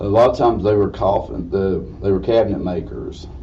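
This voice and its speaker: A man with an Appalachian accent talks at a moderate pace in a very deep, low pitch with lively intonation. Noticeable background noise and audible room echo surround him. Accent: Southern US (Appalachian). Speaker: funeral director. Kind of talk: lecture.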